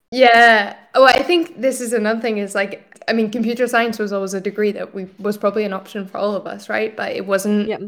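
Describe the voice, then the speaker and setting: A woman with a Scottish accent talks at a fairly quick pace with hardly any pauses, using a fairly high voice and fairly even intonation. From Scotland. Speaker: general manager of a tech school. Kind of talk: interview conversation.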